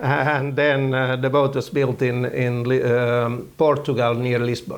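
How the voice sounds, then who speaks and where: Against noticeable background noise, a man speaks fairly slowly at a medium pitch, with very even loudness and monotone, flat intonation. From Finland. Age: 60s. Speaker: yacht skipper and owner. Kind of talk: interview. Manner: halting, many fillers.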